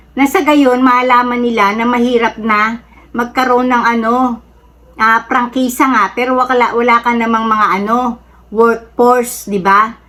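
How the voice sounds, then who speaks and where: A woman speaks at a fairly slow pace in a high pitch. Her intonation is monotone and flat, and her loudness stays very even. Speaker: political commentary vlogger. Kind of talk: casual opinion monologue. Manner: halting with frequent fillers.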